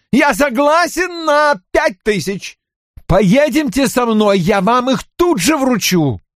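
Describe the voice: In a put-on character voice, a man speaks slowly at an extremely high pitch with big pitch swings and a fairly bright tone, on a very clean recording with a silent background.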